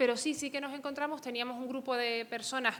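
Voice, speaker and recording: A woman talks at a fairly quick pace. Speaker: psychology researcher. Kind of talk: conference talk. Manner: fast.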